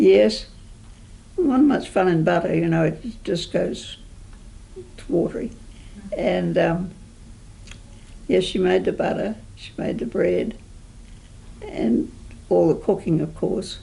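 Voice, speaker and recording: At a very slow pace and with long, frequent pauses, a woman speaks in a New Zealand accent. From New Zealand, rural sheep station. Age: 80s+. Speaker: oral history interviewee, assisted living resident. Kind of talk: oral history interview. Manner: halting.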